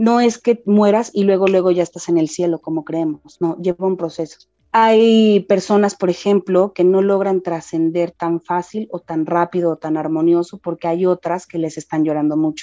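A woman speaks at a fairly low pitch in a dark, mellow tone, with fairly even intonation. She leaves hardly any pauses, and the sound is dry and close with no echo. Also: moderate pace. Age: 30s. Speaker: spiritual medium. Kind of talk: casual interview.

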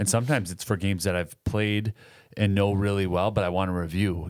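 A very clean recording of very fast talking against a silent background. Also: man. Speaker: podcast co-host. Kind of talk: casual chat. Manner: joking.

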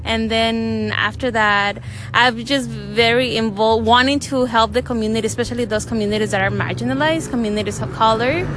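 Amid noticeable background noise and audible room echo, the speaker goes at a fairly quick pace. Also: woman, hardly any pauses. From Latin America, raised in Los Angeles from 15. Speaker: social worker. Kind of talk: interview. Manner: hesitant, with fillers.

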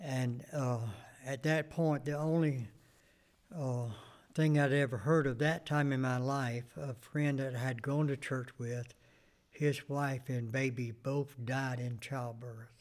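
With a Southern US accent, a man of medium pitch talks at a very slow pace, keeping his intonation fairly even. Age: 70s. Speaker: pastor and Vietnam veteran. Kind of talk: interview. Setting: church. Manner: brief answers.

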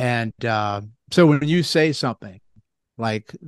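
Against a quiet background, a man speaks at medium pitch with ordinary pitch variation, the sound dry and close with no echo. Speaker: chiropractor and lymphatic health educator. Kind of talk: casual explanatory interview. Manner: animated, explains with analogies.

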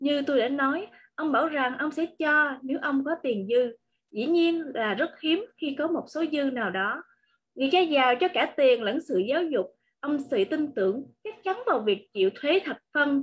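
With lively intonation and a high pitch, a woman speaks fairly slowly over a quiet background. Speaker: book club reader. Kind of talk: reading aloud.

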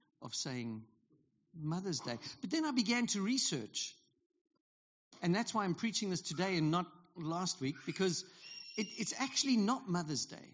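Pausing long and often, a man with a South African accent speaks in a high pitch that swings very widely. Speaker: pastor. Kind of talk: sermon. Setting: church.

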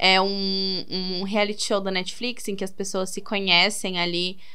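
Her pitch is medium and her intonation monotone and flat. This woman's voice carries audible room echo. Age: 20s. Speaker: podcast host. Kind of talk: casual solo monologue. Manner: casual, conversational.

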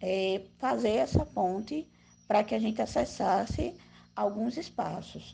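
Speaking at a fairly slow pace, a woman with a dark, mellow tone and vocal fry uses lively intonation. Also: medium pitch for a woman. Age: 20s. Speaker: community activist. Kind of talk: interview. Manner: casual, slangy.

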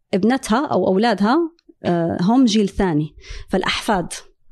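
Over a quiet background, a woman with a medium pitch and a dark, mellow tone talks at a fairly slow pace with lively intonation. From Syria. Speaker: energy engineer. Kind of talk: interview conversation.

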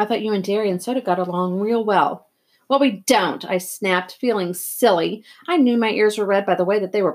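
Against quiet surroundings, a text is read aloud in a natural voice, its pitch varying in an ordinary way.

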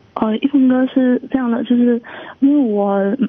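Her voice high, a woman speaks with fairly even intonation. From Chongqing, China. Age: 20s. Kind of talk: phone-in call seeking advice. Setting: phone call. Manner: halting.

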